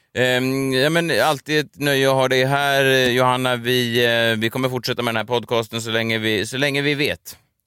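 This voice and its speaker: A man talks in a bright, sharp tone with hardly any pauses. His intonation stays fairly even. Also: medium pitch for a man, moderate pace. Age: 30s. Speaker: podcast host. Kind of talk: casual chat.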